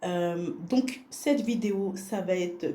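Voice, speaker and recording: A woman's dark, mellow, somewhat breathy voice at a medium pitch and a very slow pace, with audible room echo. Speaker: vlogger. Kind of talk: casual vlog narration. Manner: soft-spoken.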